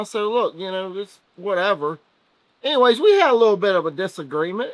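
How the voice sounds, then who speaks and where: Loud and fairly quick, a man is speaking. He has a Southern US accent. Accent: US South. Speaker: race team member. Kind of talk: casual chat.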